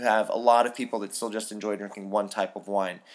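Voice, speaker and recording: An ordinary speaking voice from a man with an American accent, fairly quick and fairly even in intonation, in a very clean recording with a silent background. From US West Coast, San Francisco. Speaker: wine podcast host, wine professional. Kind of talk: casual solo podcast monologue.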